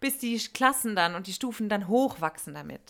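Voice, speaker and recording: A woman at medium pitch, bright and sharp in tone, with lively intonation, in a very clean recording with a silent background. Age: 30s. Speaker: former teacher, podcast co-host. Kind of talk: casual chat.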